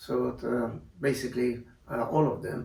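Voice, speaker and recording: A man talks at a very slow pace. Room echo is audible, and background noise is noticeable. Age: 60s. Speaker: retired airline pilot. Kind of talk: interview testimony. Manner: halting, many fillers.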